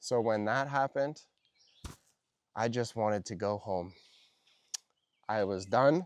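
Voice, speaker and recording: A fairly slow man with a fairly low pitch and ordinary pitch variation. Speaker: English teacher for learners. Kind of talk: slow storytelling for language learners. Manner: clear.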